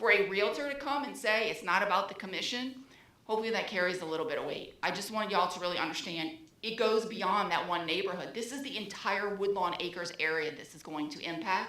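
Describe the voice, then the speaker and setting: A woman of medium pitch at a very fast pace, with ordinary pitch variation, noticeable background noise, and audible room echo. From New Orleans, Louisiana. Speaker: resident speaking at public meeting. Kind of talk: public comment at city meeting. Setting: public meeting room at microphone. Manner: animated.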